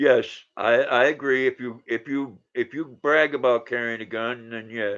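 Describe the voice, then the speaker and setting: Against a quiet background, a man with a normal speaking voice talks at a fairly slow pace, medium in pitch and fairly even in intonation. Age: 60s. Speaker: livestreamer chatting with viewers. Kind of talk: casual live-stream chat.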